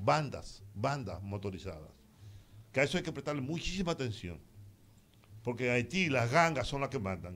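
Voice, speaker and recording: A man speaks at a moderate pace with very wide pitch swings and long, frequent pauses. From Dominican Republic. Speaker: radio host. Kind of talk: call-in talk radio. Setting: studio. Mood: critical, concerned about crime. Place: studio. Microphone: studio mic.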